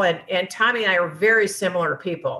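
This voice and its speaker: Bright and sharp in tone, a woman's voice holds a medium pitch. She speaks at a moderate pace with fairly even intonation. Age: 60s. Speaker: mother in recovery from alcoholism, book author. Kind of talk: interview testimony. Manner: halting.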